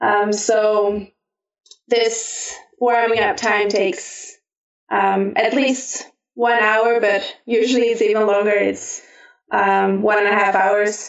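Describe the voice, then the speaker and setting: With a Flemish accent, a woman speaks at a very slow pace and a fairly high pitch, her monotone, flat intonation and very even loudness broken by long, frequent pauses. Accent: Flemish Belgian English. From Belgium. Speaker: competition climber. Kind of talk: interview. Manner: hesitant with fillers.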